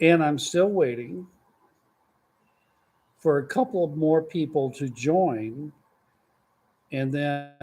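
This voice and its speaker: A man with a Texan accent speaks at a very slow pace with long, frequent pauses. His tone is dark and mellow, his pitch fairly high with ordinary variation. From Texas. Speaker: grandparent. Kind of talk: casual livestream talk.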